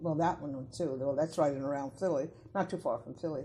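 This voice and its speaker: In an American accent, a woman speaks with a very deep, low pitch, a dark, mellow tone and a somewhat breathy quality. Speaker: folklorist. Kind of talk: interview answer.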